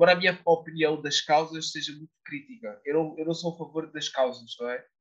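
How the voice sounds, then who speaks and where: In a European Portuguese accent, a man with a fairly high pitch speaks at a fairly quick pace with fairly even intonation. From Portugal. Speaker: law student and youth politics figure. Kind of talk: interview answers, political discussion.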